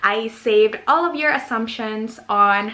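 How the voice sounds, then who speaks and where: Speaking fairly slowly with an American accent, a woman uses a fairly high pitch and ordinary pitch variation. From Philippines. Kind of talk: casual vlog Q&A.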